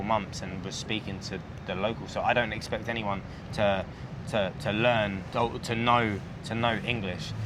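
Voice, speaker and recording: Through noticeable background noise and audible room echo, a man with a British accent speaks at a fairly low pitch with fairly even intonation. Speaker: expat vlogger. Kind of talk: casual chat.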